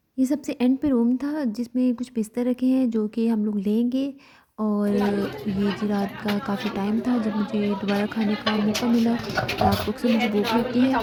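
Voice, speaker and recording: Noticeable background noise sits behind a woman with a fairly high pitch. She speaks with hardly any pauses and fairly even intonation. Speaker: vlogger. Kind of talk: vlog narration. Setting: village wedding.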